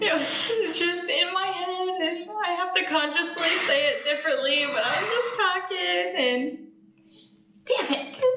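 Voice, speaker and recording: The voice is raised and projected, with a slight Texan accent and lively intonation at a fairly slow pace. There is audible room echo and noticeable background noise. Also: woman, extremely high pitch for a woman. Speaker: real estate agent. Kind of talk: casual chat.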